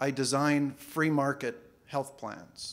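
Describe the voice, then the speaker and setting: A man talks at a fairly high pitch. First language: not English. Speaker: financial planner. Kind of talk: conference talk. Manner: halting, many repeated words.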